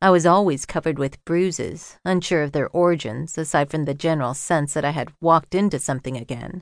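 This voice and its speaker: A woman speaks at a very deep, low pitch. The background is quiet. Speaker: audiobook narrator. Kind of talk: audiobook narration, first-person memoir read aloud. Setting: studio. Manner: measured, expressive, literary delivery with reflective pacing; warm, earnest, intimate.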